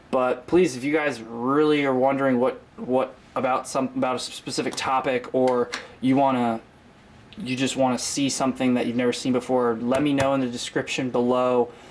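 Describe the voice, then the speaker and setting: A man speaks with an American accent at a medium pitch. His pace is moderate and his intonation is monotone and flat. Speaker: fishing YouTuber. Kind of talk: casual tutorial to camera. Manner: frequent filler 'um', casual.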